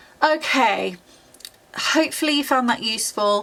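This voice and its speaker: A woman in a British accent with a bright, sharp tone at a fairly slow pace. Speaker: YouTuber and university student. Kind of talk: tutorial.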